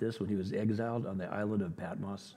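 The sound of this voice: With a fairly low pitch, a man speaks in a dark, mellow tone.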